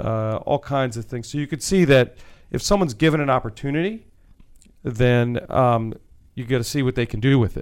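An ordinary speaking voice belongs to this man at medium pitch. He talks at a fairly quick pace. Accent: American. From Maryland, US (Wheaton). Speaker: tech company CEO. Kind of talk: radio interview.

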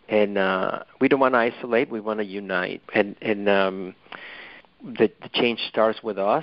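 A man speaks at a fairly low pitch with a Mexican accent. His intonation stays fairly even. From Mexico City. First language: Spanish. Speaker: author and dentist. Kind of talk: interview. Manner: halting, hesitant.

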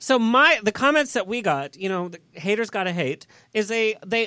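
Raised and projected, a man's high-pitched voice carries a bright, sharp tone and lively intonation at a moderate pace. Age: 30s. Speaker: radio show host. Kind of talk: casual chat. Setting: studio with live audience. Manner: animated.

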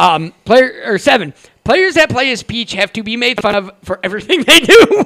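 A man uses a raised, projected voice at an extremely high pitch. He keeps a moderate pace, and his pitch swings very widely. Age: 20s. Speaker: podcast host. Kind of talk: casual chat.

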